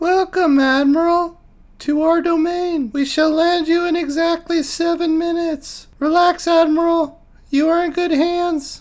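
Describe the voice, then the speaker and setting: A put-on character voice, squeaky and extremely high in pitch, with monotone, flat intonation at a moderate pace. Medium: read story. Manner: polite, formal.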